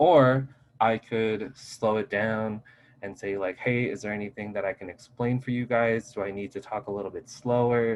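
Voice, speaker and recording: A man speaks at medium pitch. His intonation is fairly even. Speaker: instructor. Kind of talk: lecture. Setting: video call. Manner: fast. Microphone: Zoom connection glitches.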